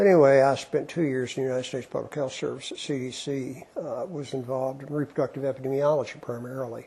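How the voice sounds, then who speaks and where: Speaking with an Appalachian accent, a man rattles along at a very fast pace, keeping a medium pitch and fairly even intonation. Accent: Appalachian Southern US. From Eastern Kentucky, Appalachia. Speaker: retired physician and professor. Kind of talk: oral history interview. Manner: conversational, with hesitations.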